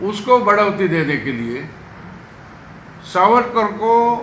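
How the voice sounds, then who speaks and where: Speaking in a raised, projected voice, a man with a high pitch is heard with audible room echo and noticeable background noise. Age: 70s. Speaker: politician. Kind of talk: press conference.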